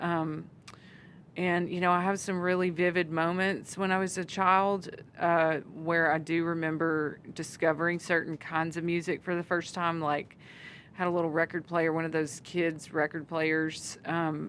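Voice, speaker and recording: In a Southern accent, a woman speaks at a fairly slow pace with a fairly low pitch and monotone, flat intonation, on a very clean recording with a silent background. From Arkansas. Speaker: country singer. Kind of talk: interview answer.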